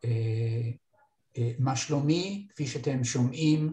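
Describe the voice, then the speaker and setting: This man's dark, mellow tone comes through somewhat breathy. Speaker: retired instructor filling in to teach course software. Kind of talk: online training workshop. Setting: video call. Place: office. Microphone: webcam.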